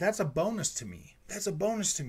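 A man talking at a moderate pace. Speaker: gaming YouTuber. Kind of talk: angry rant about console rivalry, directed at PlayStation fans, indignant and defensive. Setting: home recording, solo to camera. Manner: loud, exasperated and heated, repeating himself and stumbling over words; casual, conversational, with filler words and swearing like 'freaking'. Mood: mildly frustrated, relaxed. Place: home room. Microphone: studio mic.

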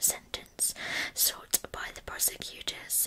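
A woman whispers at a fairly slow pace. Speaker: true crime storyteller. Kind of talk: narrated storytelling to camera. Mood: calm, serious. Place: home room. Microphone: earbuds.

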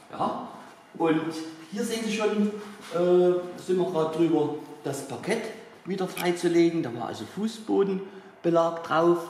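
Amid light background noise and audible room echo, a man with a high pitch and ordinary pitch variation speaks at a fairly slow pace with long, frequent pauses. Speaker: tour guide. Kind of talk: guided tour explanation. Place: hall. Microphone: camera far.

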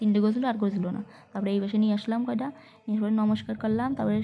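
A woman speaks with a dark, mellow tone that is somewhat breathy. Her intonation stays monotone and flat. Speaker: lifestyle vlogger. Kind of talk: vlog narration. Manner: chatty, conversational.

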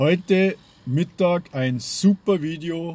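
The recording has a dry sound with no echo. A man does the talking. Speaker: pipe-smoking hobby vlogger. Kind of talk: casual vlog chat. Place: car. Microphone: phone near.

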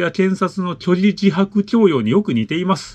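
His voice sits high in pitch. The pace of his speech is moderate. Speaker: channel host reading listener letters. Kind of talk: reading aloud a listener letter with commentary. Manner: casual, filler-heavy commentary. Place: home room.

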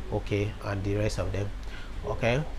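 Background noise is noticeable throughout. The delivery holds a moderate pace. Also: woman. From Nigeria. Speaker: nurse and educational YouTuber. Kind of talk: tutorial. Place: office.

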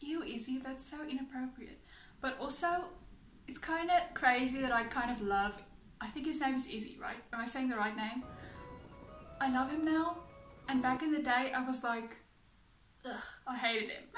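Here a woman speaks at a high pitch with ordinary pitch variation and long, frequent pauses. Audible room echo surrounds her, and faint music plays in the background. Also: moderate pace. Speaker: reaction video creator. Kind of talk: casual vlog chat. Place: home room.

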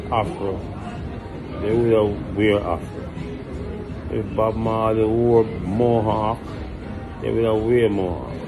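A man speaks at a very slow pace. Noticeable background noise runs behind him. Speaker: channel owner, reggae artist. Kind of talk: angry rant, profane. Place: bar. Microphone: phone near.

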